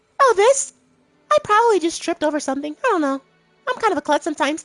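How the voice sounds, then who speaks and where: A put-on character voice at an extremely high pitch rattles along at a very fast pace, with faint music in the background. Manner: sweet, bashful, a bit clumsy.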